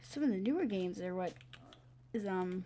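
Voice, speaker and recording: A quiet woman's voice with a dark, mellow tone. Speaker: gaming youtuber. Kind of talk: casual gameplay commentary. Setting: bedroom at night. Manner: hesitant, many fillers.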